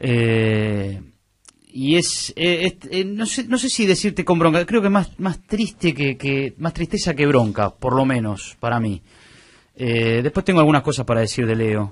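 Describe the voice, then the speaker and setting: A fairly slow delivery in a Rioplatense accent, with very wide pitch swings. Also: man, medium pitch for a man. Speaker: sports radio panelist. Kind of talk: sports talk radio.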